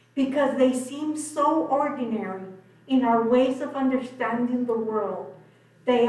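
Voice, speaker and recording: A woman speaks at a fairly slow pace with a high pitch and fairly even intonation. Audible room echo and noticeable background noise surround her voice. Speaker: public commenter. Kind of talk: public comment at council meeting. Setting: city commission meeting.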